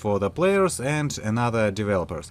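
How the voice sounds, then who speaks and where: Speaking at a moderate pace, a man with a Russian accent and a medium pitch makes very wide pitch swings. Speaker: indie game developer. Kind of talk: video devlog monologue. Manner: halting, with frequent filler sounds.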